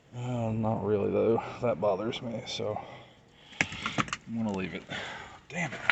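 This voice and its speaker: Soft-spoken and medium-pitched, a man speaks fairly slowly with long, frequent pauses and ordinary pitch variation over noticeable background noise. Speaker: car enthusiast vlogger. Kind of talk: casual vlog narration. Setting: outdoors.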